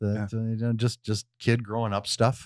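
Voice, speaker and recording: Set in a very clean recording with a silent background, a man speaks with a Western US accent. His pitch is medium and his pace moderate. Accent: Western American. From Missoula, Montana. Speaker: radio host. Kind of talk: interview answer.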